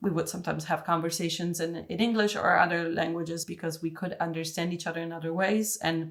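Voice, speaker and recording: A woman talks at a fairly quick pace with fairly low pitch and fairly even intonation. Noticeable background noise sits behind her. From Italy, Turin. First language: Italian. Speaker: designer. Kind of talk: casual chat.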